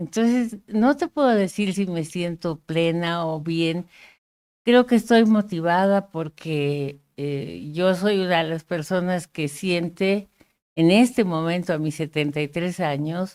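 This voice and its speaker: Her pitch fairly low with ordinary variation, a woman speaks at a very slow pace. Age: 70s. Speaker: sociologist and columnist. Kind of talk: interview.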